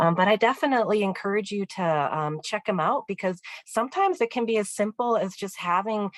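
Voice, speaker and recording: At a fairly quick pace, a woman talks with lively intonation and a medium pitch. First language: not English. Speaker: vocational rehabilitation counselor. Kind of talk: webinar Q&A answer. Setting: online webinar. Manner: hesitant with frequent fillers.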